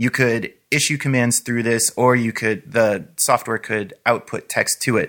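In a very clean recording with a silent background, a man talks at a moderate pace and medium pitch in an unremarkable speaking voice. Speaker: podcast co-host. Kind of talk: casual podcast discussion.

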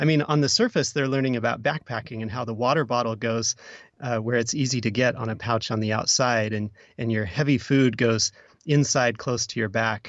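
A man speaks in a plain, everyday voice with an American accent, his pitch medium. His pace is fairly quick and his intonation fairly even. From Oregon. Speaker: podcast producer. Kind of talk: casual chat.

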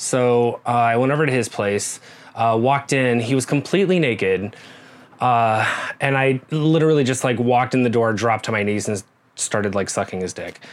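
A man's medium-pitched voice shows ordinary pitch variation and moves at a moderate pace. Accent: American. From US Midwest, rural Nebraska. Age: 40s. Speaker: massage therapist and guest co-host. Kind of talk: casual interview, personal storytelling.

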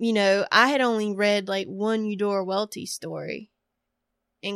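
In an American accent, a woman with a normal speaking voice and medium pitch talks at a fairly slow pace with fairly even intonation, the sound dry and close with no echo against a quiet background. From US South, rural northeastern North Carolina. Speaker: creative writer. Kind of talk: interview.

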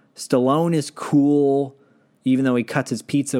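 In an American accent, the speaker goes at a fairly slow pace in a very clean recording with a silent background. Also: man. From Michigan, US (Detroit). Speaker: podcast host, guest. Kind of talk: casual chat.

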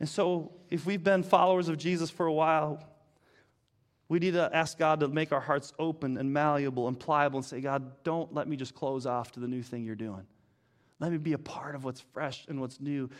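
A man with an American accent speaks at a moderate pace in a fairly high voice, with ordinary pitch variation. It is a plain, everyday voice. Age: 50s. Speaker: pastor. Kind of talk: sermon. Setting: church.

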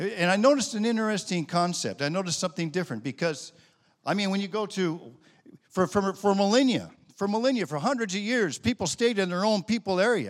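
In a very clean recording with a silent background, a man with an American accent talks at a very fast pace, high-pitched for a man, with lively intonation. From United States. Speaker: missionary pastor. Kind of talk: sermon.

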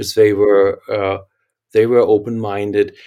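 In a German accent, a man speaks at a medium pitch with a dark, mellow tone and monotone, flat intonation. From Germany. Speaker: architect and company founder. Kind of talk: interview.

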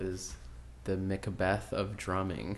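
Someone with an American accent speaks at a very slow pace, with ordinary pitch variation. Audible room echo is present. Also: man. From Minnesota, Saint Paul. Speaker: comedian and TV writer. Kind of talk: casual chat.

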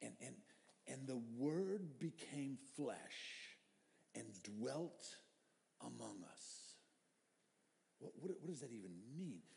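A dark, mellow voice moves at a very slow pace with long, frequent pauses. Its pitch swings very widely, and room echo is audible. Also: man, medium pitch for a man. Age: 50s. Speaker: pastor. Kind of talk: sermon. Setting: church. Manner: halting.

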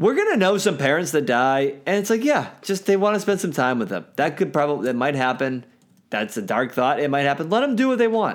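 At a fairly quick pace, a man with a fairly high pitch makes very wide pitch swings, on a very clean recording with a silent background. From US Mid-Atlantic, north of Washington DC. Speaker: podcast co-host. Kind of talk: casual chat.

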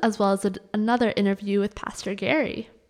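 This woman has an ordinary speaking voice and moves at a fairly quick pace. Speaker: church podcast host. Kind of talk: interview conversation. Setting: church in New York City.

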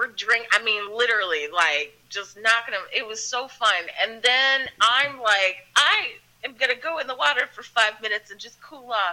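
A woman with a Philadelphia accent speaks at a fairly high pitch with lively intonation and hardly any pauses. Her loudness swings widely over noticeable background noise. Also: moderate pace. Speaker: actress. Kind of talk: casual chat.

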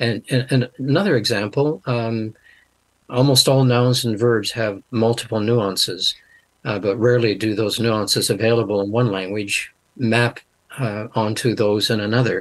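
A man's voice, an ordinary speaking voice, at medium pitch, with fairly even intonation and a moderate pace. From Canada. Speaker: linguist and Bible translator. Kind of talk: interview.

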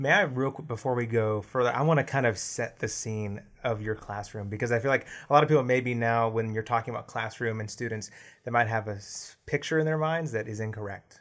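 A medium-pitched man at a fairly quick pace on a very clean recording with a silent background. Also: ordinary pitch variation. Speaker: podcast co-host and producer. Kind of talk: casual interview. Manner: animated.

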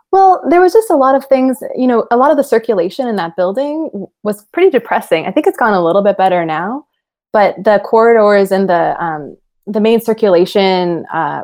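With an American accent, a woman speaks at a fairly high pitch and a moderate pace, her pitch swinging very widely. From Los Angeles and Oaxaca, Mexico. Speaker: architect and architecture professor. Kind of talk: interview conversation.

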